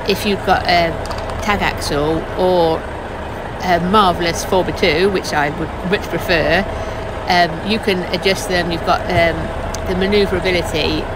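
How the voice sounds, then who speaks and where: The speech has long, frequent pauses and a dry sound with no echo, set against loud background noise. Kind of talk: casual vlog chat. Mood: mildly frustrated, patient. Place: car.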